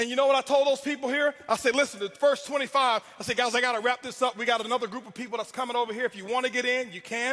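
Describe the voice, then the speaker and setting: A man's raised, projected voice at an extremely high pitch, bright and sharp, animated, very fast, with hardly any pauses. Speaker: network marketing speaker. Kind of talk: motivational speech. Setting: stage with audience. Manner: loud.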